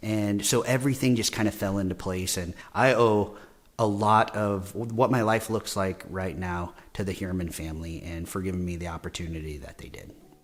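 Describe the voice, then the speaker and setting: A man with a US Midwestern accent, fairly low in pitch with ordinary pitch variation, on a very clean recording with a silent background. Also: moderate pace, big swings in loudness. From Nebraska, US Midwest. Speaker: clinical perfusionist, scholarship recipient. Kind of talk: interview testimony.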